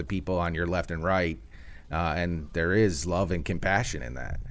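A man with an American accent, very deep, low pitch, ordinary pitch variation and a moderate pace. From Chicago, US Midwest. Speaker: tech company executive. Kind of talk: interview.

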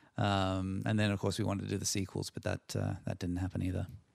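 A man with an Australian accent, very deep and low in pitch, at a very fast pace, on a very clean recording with a silent background. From Australia (Sydney, from age six). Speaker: screenwriter and director. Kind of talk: interview conversation. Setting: home office.

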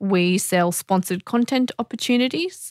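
Heard on a very clean recording with a silent background and a dry, close sound with no echo, the speaker talks at a moderate pace with an Australian accent and ordinary pitch variation. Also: woman. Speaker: media company founder. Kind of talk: interview.

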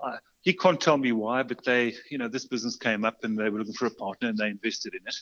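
Talking very fast with a South African accent, a man uses a medium pitch and ordinary pitch variation. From South Africa, Port Elizabeth and Johannesburg. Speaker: custom bicycle builder and shop owner. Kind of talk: interview. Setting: remote call.

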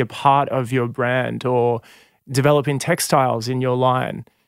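On a very clean recording with a silent background, a man speaks at a fairly slow pace and medium pitch with fairly even intonation. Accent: Australian. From Sydney northern beaches, Australia. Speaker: singer and musician. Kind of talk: interview.

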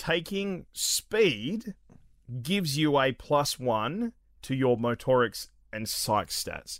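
A man with an Australian accent speaks at a very slow pace in a fairly high pitch, his voice making very wide pitch swings on a very clean recording with a silent background. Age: 30s. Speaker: gaming podcast host. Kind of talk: casual chat.

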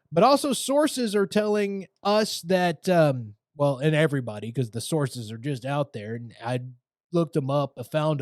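In an unremarkable speaking voice, a man with a fairly high pitch talks at a moderate pace with ordinary pitch variation. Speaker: wrestling podcast host. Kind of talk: casual podcast monologue. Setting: online video podcast. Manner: casual, profane, conversational.

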